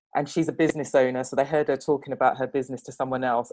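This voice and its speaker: Someone with an English accent speaks against a quiet background. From England. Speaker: panel guest in discussion on race. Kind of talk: podcast panel discussion.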